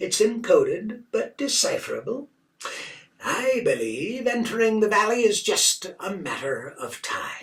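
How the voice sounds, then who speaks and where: A man does a put-on character voice. It is extremely high-pitched and fairly slow. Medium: read story. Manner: blank, flat, emotionless.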